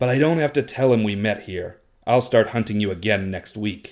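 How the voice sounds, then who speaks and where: Putting on a growling character voice at a medium pitch, a man speaks at a moderate pace in a very clean recording with a silent background. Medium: read story.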